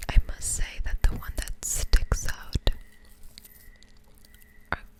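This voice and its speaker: Whispering at a very slow pace, a woman's voice has big swings in loudness, with a dry, close sound with no echo and noticeable background noise. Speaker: ASMR creator. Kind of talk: casual talk to camera. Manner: soft-spoken, close-whispered.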